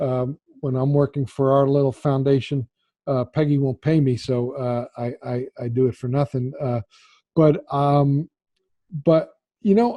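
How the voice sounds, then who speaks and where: A man's fairly high voice at a fairly slow pace, fairly even in intonation, with long, frequent pauses. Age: 60s. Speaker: travel photographer and filmmaker. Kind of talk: webinar interview. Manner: halting, many repeated words.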